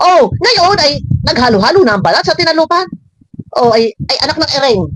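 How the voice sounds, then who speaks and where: In a Batangas accent, a woman speaks at a high pitch with very wide pitch swings, at a fairly quick pace. Her tone is animated, and her loudness stays very even. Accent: Batangueño Tagalog. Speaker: showbiz gossip commentator vlogger. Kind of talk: reaction commentary vlog. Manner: animated, exclamatory.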